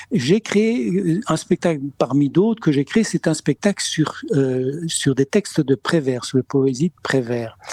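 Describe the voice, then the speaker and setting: A man's fairly high voice at a very slow pace, its loudness very even throughout. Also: lively intonation, hardly any pauses, dry, close sound with no echo. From Spain. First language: Spanish (speaking French). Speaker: comedian. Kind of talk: interview. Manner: halting, many repetitions.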